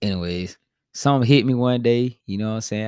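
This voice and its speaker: In an ordinary speaking voice with an American accent, the speaker talks at a fairly quick pace with fairly even intonation, in a very clean recording with a silent background and a dry, close sound with no echo. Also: man. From Spartanburg, South Carolina. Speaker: podcast host. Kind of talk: casual chat.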